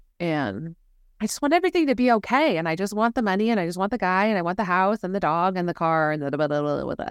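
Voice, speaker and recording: On a very clean recording with a silent background, the speaker races at a very fast pace with lively intonation. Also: woman, medium pitch for a woman. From London, England. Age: 40s. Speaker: somatic and nervous system coach. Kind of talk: casual interview conversation.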